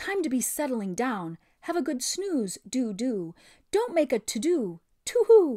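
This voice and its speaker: A woman's put-on character voice, high-pitched with very wide pitch swings, at a fairly slow pace in a very clean recording with a silent background. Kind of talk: sing-song, cooing. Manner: sleepy, drowsy.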